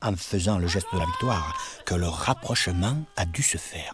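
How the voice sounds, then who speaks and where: Noticeable background noise around a male speaker, fairly slow in pace, with ordinary pitch variation. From Paris, France. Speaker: witness recounting childhood memories. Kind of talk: personal narration of memories.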